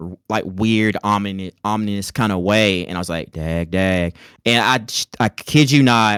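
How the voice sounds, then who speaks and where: A man with an American accent, a fairly low pitch and ordinary pitch variation at a fairly slow pace, in a very clean recording with a silent background and a dry, close sound with no echo. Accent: Southern twang, fading somewhat. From US South, rural North Carolina. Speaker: content creator. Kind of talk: casual chat.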